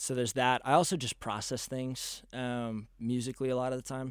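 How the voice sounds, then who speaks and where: A man with a Texan accent speaks at medium pitch and a moderate pace. The recording is very clean, with a silent background. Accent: Texan American. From Texas, Dallas. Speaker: college baseball player and musician. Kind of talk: casual interview.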